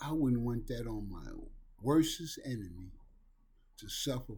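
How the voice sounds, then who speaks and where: A man with a dark, mellow tone sounds somewhat breathy at a moderate pace. Audible room echo surrounds his voice. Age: 60s. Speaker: recovery talk video host. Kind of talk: monologue on addiction recovery. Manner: earnest, emphatic.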